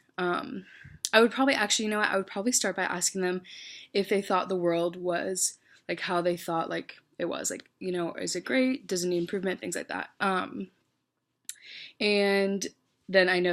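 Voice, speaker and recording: A woman speaks at a fairly quick pace with an American accent, her pitch medium and ordinary in variation. The recording is very clean, with a silent background. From North Carolina. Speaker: student organization leader. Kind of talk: application video monologue. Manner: loud; many fillers (um, like).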